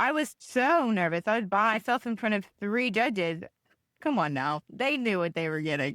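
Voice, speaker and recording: A woman with a Tennessee accent, medium pitch, very wide pitch swings and a moderate pace, in a dry, close sound with no echo on a very clean recording with a silent background. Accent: Southern US (Tennessee). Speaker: podcast guest, host's sister. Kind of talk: casual chat.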